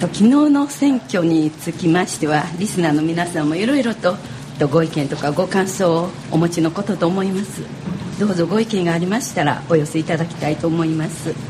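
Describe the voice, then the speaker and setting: A woman talks at a fairly quick pace with a Kyoto accent and ordinary pitch variation. Her pitch is fairly low, with noticeable background noise. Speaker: radio host. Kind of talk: live radio talk. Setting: radio studio at a cafe.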